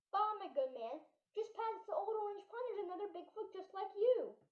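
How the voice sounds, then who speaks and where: An extremely high, squeaky put-on character voice at a fairly quick pace with a slight echo. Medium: stage play. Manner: formal, polite.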